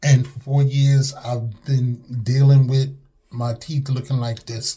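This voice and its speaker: A man's somewhat breathy, dark and mellow voice at a medium pitch, in monotone, flat intonation, at a very slow pace. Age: 60s. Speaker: customer giving testimonial. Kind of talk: testimony. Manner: casual, hesitant.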